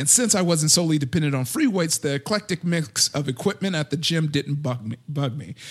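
A man with a fairly high pitch talks very fast with ordinary pitch variation. Noticeable background noise can be heard. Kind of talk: casual chat.

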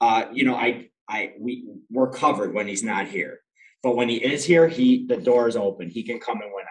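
Speaking at a fairly quick pace with an American accent, a man keeps a medium pitch and ordinary pitch variation. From Rochester, New York. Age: 40s. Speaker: bakery owner. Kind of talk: casual interview. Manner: halting, many fillers.

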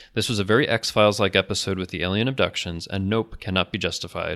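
On a very clean recording with a silent background, a man with a fairly low voice talks at a very fast pace. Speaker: podcast host. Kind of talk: casual chat.

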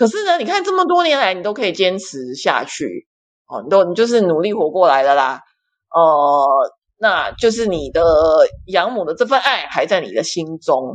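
A woman with a medium pitch talks at a moderate pace. Her voice makes very wide pitch swings. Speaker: ministry worker for women in sex trade. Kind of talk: casual chat. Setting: online audio room.

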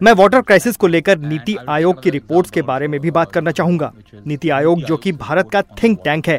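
The recording is dry and close, with no echo. A man talks at a high pitch, varying it in an ordinary way. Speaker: climate activist. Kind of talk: interview.

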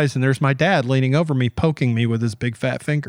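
Talking very fast, a man with a Southern US accent holds a medium pitch with ordinary pitch variation, recorded very cleanly against a silent background with a dry, close sound and no echo. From US South, Georgia (Atlanta area). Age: 50s. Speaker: editorial cartoonist. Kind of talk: casual interview. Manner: animated.

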